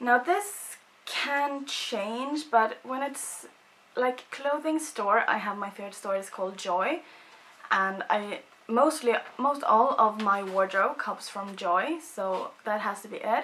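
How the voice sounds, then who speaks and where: A woman with a Swedish accent and fairly high pitch, very slow pace, lively intonation and big swings in loudness, over noticeable background noise. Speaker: beauty vlogger. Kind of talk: casual chat.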